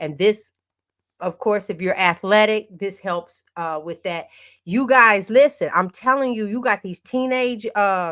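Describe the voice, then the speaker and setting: Speaking fairly slowly, a woman with a medium pitch sounds animated, her pitch varying in an ordinary way. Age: 60s. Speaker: podcast host. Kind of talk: casual chat. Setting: livestream.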